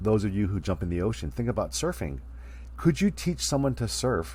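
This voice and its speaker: A man with a dark, mellow tone and a very deep, low pitch talks at a fairly quick pace, with vocal fry and very wide pitch swings. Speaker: college speech instructor. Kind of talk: recorded online lecture. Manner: fast; casual.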